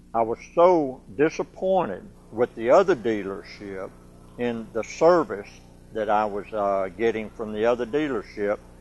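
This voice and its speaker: A man at a medium pitch speaks at a fairly slow pace. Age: 60s. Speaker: car dealership customer. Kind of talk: testimonial interview. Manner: halting, many fillers.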